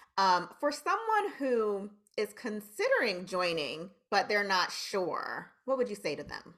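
With a plain, everyday voice, a woman talks at a fairly slow pace with hardly any pauses, using lively intonation and a fairly high pitch. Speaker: radio host. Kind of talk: casual interview.

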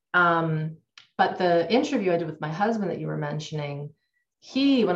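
A woman speaks somewhat breathily at a fairly low pitch. Her pitch variation is ordinary. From Canada. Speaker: trauma and nervous system educator. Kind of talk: interview.

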